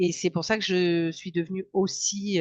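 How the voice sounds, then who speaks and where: A woman's fairly low voice at a fairly slow pace. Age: 60s. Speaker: dietitian and hypnotherapist. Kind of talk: interview. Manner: hesitant, many fillers.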